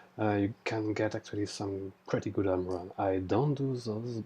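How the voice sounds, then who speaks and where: Fairly slow, fairly even speech with a French accent, over noticeable background noise. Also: man. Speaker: trading tutorial creator. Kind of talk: tutorial. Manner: halting, many fillers. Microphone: poor recording quality.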